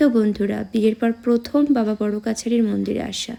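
Using vocal fry, a woman speaks at a moderate pace with a medium pitch and a dark, mellow tone.

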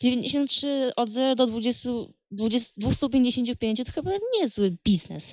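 The woman's voice sounds dry, without any echo. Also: quiet background. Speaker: game commentator. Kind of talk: casual gameplay commentary.

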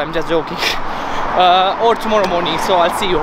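Loud background noise sits behind a man's voice. His pitch variation is ordinary. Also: dry sound with no echo. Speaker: vlogger. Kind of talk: casual vlog chat. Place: street. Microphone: phone near.

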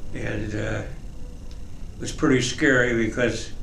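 A man talks at a very slow pace in a monotone, flat intonation, with audible room echo and light background noise. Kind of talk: interview answer. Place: studio.

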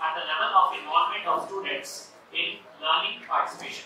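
A man talks at a moderate pace. Strong room echo surrounds him, along with light background noise. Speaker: medical educator presenting. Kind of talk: lecture. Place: hall.

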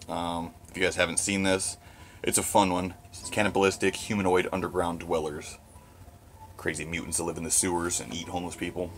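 Against light background noise, a man speaks with a very deep, low pitch. His intonation is monotone and flat, at a moderate pace. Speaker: horror fan vlogger. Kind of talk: casual vlog chat. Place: home room. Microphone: phone near.

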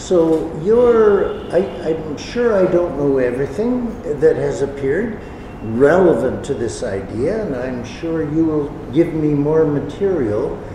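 Fairly slow speech from a man, amid noticeable background noise and audible room echo. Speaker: visiting lecturer. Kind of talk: lecture. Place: hall. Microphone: podium.

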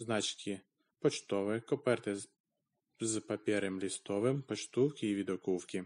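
A man with a fairly low pitch speaks fairly slowly, with ordinary pitch variation, against a quiet background. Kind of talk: text read aloud by a language learner.

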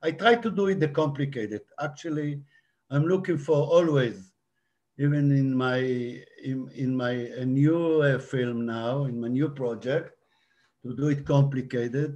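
A man with an Israeli accent, fairly high in pitch, at a fairly slow pace with ordinary pitch variation. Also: quiet background. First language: Hebrew. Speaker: documentary director. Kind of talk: panel Q&A. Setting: video call. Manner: halting. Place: home room. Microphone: video call.

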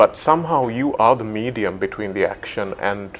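A man's unremarkable speaking voice at a moderate pace, with ordinary pitch variation and light background noise. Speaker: sports website host / interviewer. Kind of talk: interview question. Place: studio. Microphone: lapel.

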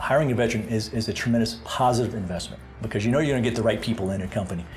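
Talking at a very fast pace, a man is heard with faint music in the background. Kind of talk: interview answer. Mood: confident, positive. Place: office.

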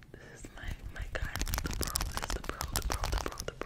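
Loud background noise surrounds the voice. A woman speaks at a moderate pace. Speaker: ASMR creator. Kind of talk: casual vlog chat. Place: home room. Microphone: studio mic.

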